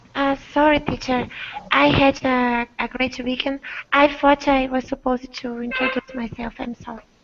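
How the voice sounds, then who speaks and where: Against noticeable background noise, a woman speaks at a high pitch in a monotone, flat way, her loudness swinging widely. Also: moderate pace. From Brazil. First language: Portuguese. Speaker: dentist and English student. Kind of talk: online English class chat.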